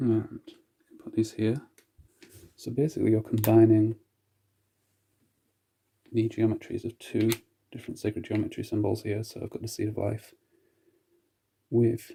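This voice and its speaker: A soft-spoken, somewhat breathy, dark and mellow voice, calm and relaxed in tone, monotone and flat, at a moderate pace with long, frequent pauses and big swings in loudness. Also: man, medium pitch for a man. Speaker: crystal grid author and healer. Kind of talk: casual talk to camera, instructional demonstration. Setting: home video with mediocre sound quality. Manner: soft-spoken, calm, relaxed.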